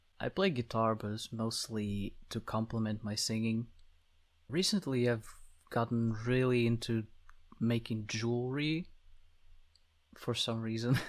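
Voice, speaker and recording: On a very clean recording with a silent background, a man with a Slavic accent speaks at a fairly slow pace in a medium pitch, with fairly even intonation and long, frequent pauses. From Slavic country. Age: 20s. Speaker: VTuber. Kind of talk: self-introduction monologue.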